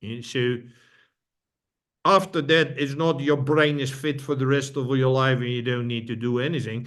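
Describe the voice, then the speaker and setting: This man speaks with a Dutch accent at a moderate pace. His medium-pitched voice has fairly even intonation. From Netherlands. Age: old. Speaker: brain fitness trainer. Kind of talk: interview conversation. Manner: halting, repeats words.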